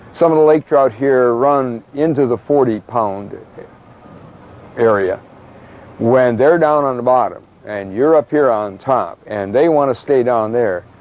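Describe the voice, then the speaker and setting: A man talks at a fairly slow pace with long, frequent pauses and ordinary pitch variation, over noticeable background noise. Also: medium pitch for a man. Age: 70s. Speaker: fishing charter captain. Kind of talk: casual interview.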